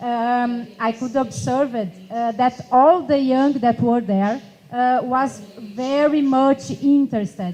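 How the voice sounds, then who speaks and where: A woman with a Portuguese accent speaks at a fairly slow pace in a high voice. Her intonation stays fairly even, and there is noticeable background noise. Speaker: youth climate activist. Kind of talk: panel discussion. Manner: halting.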